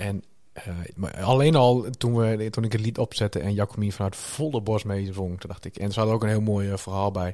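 Dark and mellow in tone, a man's fairly low voice holds fairly even intonation in a very clean recording with a silent background. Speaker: church podcast co-host. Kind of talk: casual interview.

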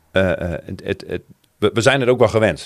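A man speaks here. His intonation is lively. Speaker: church member. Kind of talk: casual chat.

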